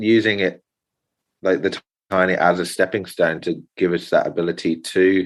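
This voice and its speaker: Against a quiet background, a man with an English accent speaks at a fairly slow pace. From United Kingdom. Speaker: carpenter and natural builder. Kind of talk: interview answer.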